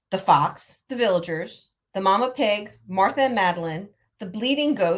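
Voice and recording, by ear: The speaker's lively intonation carries a natural read-aloud voice against a quiet background.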